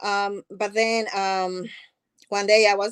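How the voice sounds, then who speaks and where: A woman's voice with a strong non-native accent, dry and close with no echo. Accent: thick foreign. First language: not English. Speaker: nonprofit founder. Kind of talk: interview.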